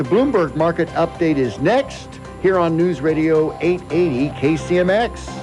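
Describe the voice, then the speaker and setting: Over music in the background, an upbeat, enthusiastic man with a fairly high pitch speaks at a moderate pace, with very even loudness and ordinary pitch variation. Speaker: radio talk show host. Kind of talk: radio interview hosting. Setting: radio studio.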